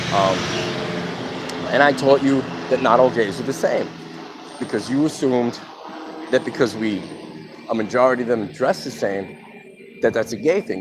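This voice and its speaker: A man talks at a moderate pace and medium pitch, with lively intonation and long, frequent pauses. Music plays in the background. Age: 50s. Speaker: vlogger telling his life story. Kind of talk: personal testimony monologue. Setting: outdoors in the sun. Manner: casual, conversational.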